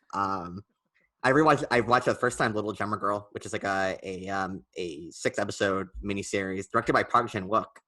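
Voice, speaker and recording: Over a quiet background, a man speaks at a fairly quick pace. His voice is fairly low, with a bright, sharp tone. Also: ordinary pitch variation. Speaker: film podcast co-host. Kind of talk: casual chat. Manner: fast; hesitant, many fillers.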